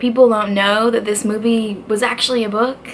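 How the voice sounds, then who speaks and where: Over noticeable background noise, a woman with a fairly high pitch speaks at a fairly quick pace. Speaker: book youtuber. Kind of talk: casual video review. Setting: dorm room. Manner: quiet; animated.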